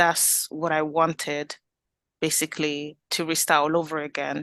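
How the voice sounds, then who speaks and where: A woman with a slight Italian accent speaks at a moderate pace in a very deep, low pitch, her tone bright and sharp and her intonation flat and monotone. The background is quiet and the sound dry and close, with no echo. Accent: Italian accent, slight now. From Italy. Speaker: community group founder. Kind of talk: interview.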